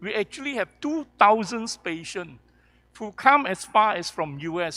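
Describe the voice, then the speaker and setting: The voice is raised and projected, bright and sharp, moving at a fairly slow pace with lively intonation on a very clean recording with a silent background. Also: man. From Kuala Lumpur, Malaysia. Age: 60s. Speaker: professor and healthcare entrepreneur. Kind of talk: panel discussion.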